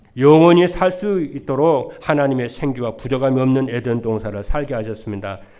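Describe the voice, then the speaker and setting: With lively intonation and a dark, mellow tone, the voice moves at a moderate pace amid audible room echo. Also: man, medium pitch for a man. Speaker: pastor. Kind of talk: sermon. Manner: stutters, by his own account.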